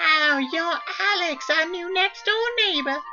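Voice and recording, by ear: Faint music plays in the background as a put-on character voice speaks at a fairly slow pace.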